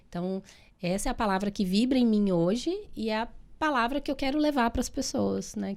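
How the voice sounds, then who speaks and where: At a moderate pace, a woman with a Minas Gerais accent speaks in a fairly high pitch on a very clean recording with a silent background. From Minas Gerais, Brazil. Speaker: physiotherapist and therapist. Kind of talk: podcast interview.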